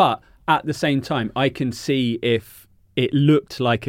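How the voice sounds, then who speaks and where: A man speaks with an English accent and ordinary pitch variation, recorded very cleanly against a silent background with a dry, close sound and no echo. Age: 30s. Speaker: journalist and author. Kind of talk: casual chat.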